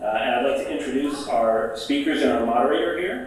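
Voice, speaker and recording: A man at a fairly quick pace, in strong room echo with light background noise. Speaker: event host. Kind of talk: speaker introductions at a panel event. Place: hall.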